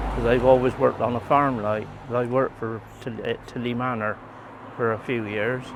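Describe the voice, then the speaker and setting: With noticeable background noise, a man in a West Country accent talks at a moderate pace and medium pitch with fairly even intonation. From Somerset, England. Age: 80s+. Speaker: retired farm worker. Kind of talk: interview. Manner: halting.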